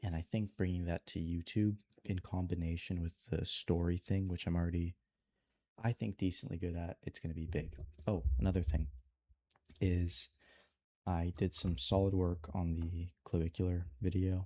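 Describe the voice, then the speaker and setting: A man with a very deep, low pitch and a dark, mellow tone speaks at a moderate pace with fairly even intonation, in a dry, close sound with no echo on a very clean recording with a silent background. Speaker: video creator and animator vlogger. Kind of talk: casual vlog tutorial. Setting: alone in his room at night. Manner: soft-spoken, quiet.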